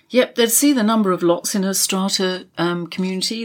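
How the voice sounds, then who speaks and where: At a fairly quick pace, a woman speaks in a plain, everyday voice of medium pitch with ordinary pitch variation. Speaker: property journalist and co-host. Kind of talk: casual conversational podcast chat.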